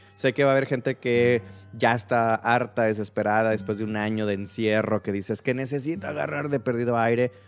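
Music plays in the background as a man speaks at a fairly quick pace, at medium pitch with ordinary pitch variation. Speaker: podcast host. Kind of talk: casual chat. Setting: live stream.

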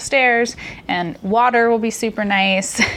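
Someone with an American accent speaks with fairly even intonation over noticeable background noise. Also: woman. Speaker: podcast host. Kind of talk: casual chat.

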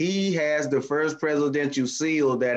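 At a fairly slow pace, the speaker uses a normal speaking voice with an American accent and ordinary pitch variation. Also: man. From US South, Miami. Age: 50s. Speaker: community youth activist. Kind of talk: casual discussion. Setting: video call.

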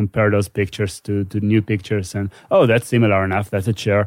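A man speaks with an Israeli accent on a very clean recording with a silent background. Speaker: neuroscience PhD student and comedian. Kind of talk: casual interview. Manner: halting.

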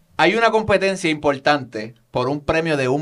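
Lively intonation from a man with a Puerto Rican accent, fairly high in pitch, at a moderate pace. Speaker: podcast host. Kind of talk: casual interview.

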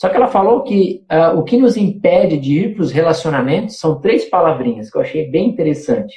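Fairly quick speech from a man pitched high, with very wide pitch swings. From Santa Catarina interior, Brazil. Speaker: missionary. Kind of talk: casual chat.

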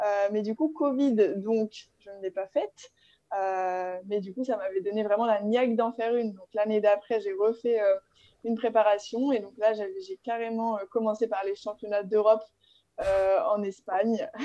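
At a fairly slow pace, a woman speaks in a fairly high pitch with a dark, mellow tone, fairly even intonation and big swings in loudness. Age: 20s. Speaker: fitness coach and bikini athlete. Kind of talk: casual chat.

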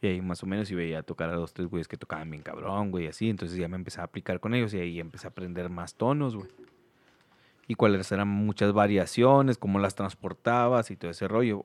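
The sound is dry and close, with no echo. A man speaks at a very fast pace in a fairly low voice. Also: ordinary pitch variation. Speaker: podcast host and musician. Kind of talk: casual chat. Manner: animated.

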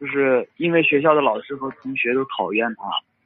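At a medium pitch and moderate pace, a man talks in an ordinary speaking voice. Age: 20s. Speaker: caller to advice show. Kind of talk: phone-in advice call.

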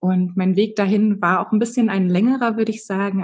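A woman speaks at a fairly quick pace in a somewhat breathy voice with fairly even intonation. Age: 30s. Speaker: human design coach. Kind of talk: interview.

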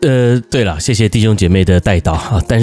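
With noticeable background noise behind him, a man talks at a fairly low pitch with lively intonation. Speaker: pastor. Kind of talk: casual chat.

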